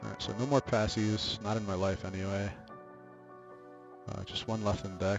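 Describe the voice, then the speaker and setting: With music playing behind him, a man with a fairly low pitch talks fairly quickly. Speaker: trading card game player; student. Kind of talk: casual gameplay commentary.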